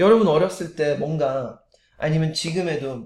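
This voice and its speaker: A man talks in a somewhat breathy voice. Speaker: motivational speaker. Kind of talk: motivational talk. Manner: frequent filler hesitations.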